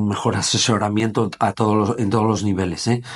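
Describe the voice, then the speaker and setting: A man's fairly low voice, monotone with flat intonation, over a quiet background. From Gijón, Asturias, Spain; Asturias, Spain. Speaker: former footballer and sports business founder; interviewee. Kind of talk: casual interview. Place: meeting room. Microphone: lapel.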